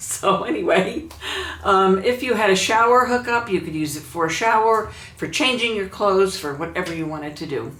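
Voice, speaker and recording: Her medium-pitched voice has lively intonation at a moderate pace, with audible room echo and noticeable background noise as the woman speaks. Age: 70s. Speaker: YouTuber. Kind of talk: casual vlog talk.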